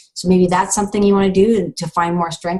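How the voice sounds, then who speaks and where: Talking at a very fast pace, the speaker sounds somewhat breathy and has a Canadian accent. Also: woman. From Canada, Thunder Bay Ontario. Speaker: breast cancer survivor and show host. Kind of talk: inspirational monologue. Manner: animated.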